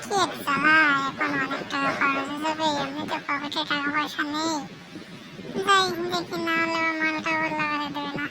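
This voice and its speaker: A cartoonish character voice moves at a moderate pace over clear background noise. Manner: grumbling.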